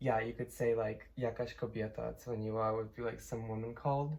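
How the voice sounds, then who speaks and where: A woman with a Polish accent speaks in a very deep, low pitch with a dark, mellow tone. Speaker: linguistics student. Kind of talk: casual explanation. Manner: halting, many fillers.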